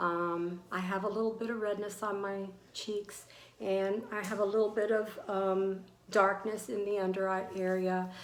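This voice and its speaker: Audible room echo fills the space. This woman's speech is very slow. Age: 60s. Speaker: beauty vlogger. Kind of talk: product review tutorial. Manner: hesitant, many fillers.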